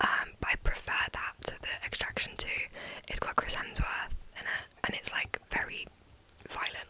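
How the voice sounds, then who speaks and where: A woman whispers with long, frequent pauses over noticeable background noise. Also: moderate pace. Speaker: ASMR content creator. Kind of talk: ASMR whisper ramble to camera. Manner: whispered, soft-spoken, casual.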